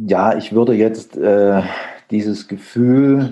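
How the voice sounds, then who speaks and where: A man speaks with a fairly low pitch and ordinary pitch variation. He has an ordinary speaking voice. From Thuringia, eastern Germany. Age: 50s. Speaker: photographer. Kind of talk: interview. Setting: video call.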